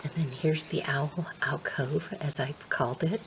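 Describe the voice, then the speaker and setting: Against noticeable background noise, a soft-spoken woman with a very deep, low pitch talks at a fairly slow pace with fairly even intonation. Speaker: ASMR creator. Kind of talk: soft-spoken ASMR show and tell.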